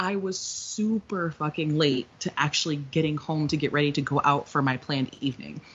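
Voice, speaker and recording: A woman's somewhat breathy voice at a very deep, low pitch, with ordinary pitch variation and a moderate pace. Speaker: podcast co-host. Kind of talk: casual chat.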